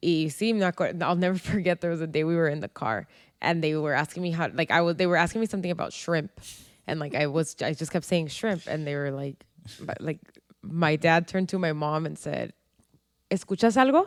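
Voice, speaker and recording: Recorded very cleanly against a silent background, a woman talks at a fairly quick pace with a fairly low pitch and ordinary pitch variation. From San Diego, US Southwest. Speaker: podcast co-host. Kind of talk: casual chat. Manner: code-switching English and Spanish.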